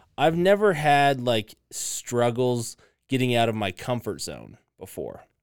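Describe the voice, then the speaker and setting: In a normal speaking voice, a man at a medium pitch talks at a fairly slow pace with lively intonation, on a very clean recording with a silent background. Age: 30s. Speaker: podcast host. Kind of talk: casual chat.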